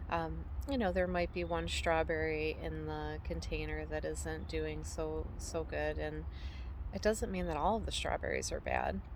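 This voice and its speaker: The pace is fairly slow. Audible room echo is present. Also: woman. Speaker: homesteader and vlogger. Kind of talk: casual vlog monologue. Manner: halting, many fillers.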